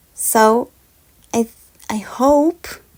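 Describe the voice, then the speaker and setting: The speaker has a calm tone and a non-native accent. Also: woman. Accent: foreign. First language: Spanish. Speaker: podcast host. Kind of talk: podcast monologue.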